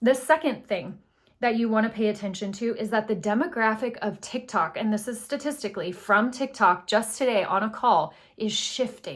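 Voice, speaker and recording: Captured very cleanly over a silent background, a woman with an unremarkable speaking voice talks at a moderate pace with fairly high pitch and ordinary pitch variation. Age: 30s. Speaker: marketing consultant. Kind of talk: casual talking-head tutorial. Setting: home recording, pillows stacked around.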